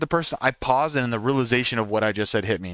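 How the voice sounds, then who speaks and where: Lively intonation from a man in an American accent. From Oklahoma, US. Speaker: gaming streamer. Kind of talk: casual chat. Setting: live stream while on the road. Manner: fast.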